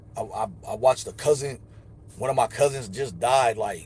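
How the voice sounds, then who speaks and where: A man is speaking. The voice sits at a medium pitch and sounds somewhat breathy. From upstate New York, Elmira. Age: 40s. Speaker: livestreamer. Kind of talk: casual livestream monologue.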